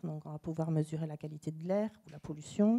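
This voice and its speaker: Fairly even intonation marks this woman's speech. Her tone is dark and mellow. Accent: Toulouse. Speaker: tourism data company representative. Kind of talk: panel presentation. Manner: hesitant, many fillers.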